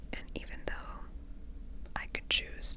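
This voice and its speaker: A woman's gentle tone over noticeable background noise. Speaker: emetophobia recovery coach and ASMR creator. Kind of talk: ASMR storytime, soft personal story. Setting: close microphone, ASMR recording. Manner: soft-spoken, slow, gentle.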